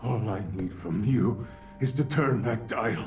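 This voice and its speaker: Someone speaks in a put-on character voice. Clear music plays in the background. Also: man. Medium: video game. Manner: measured, cold.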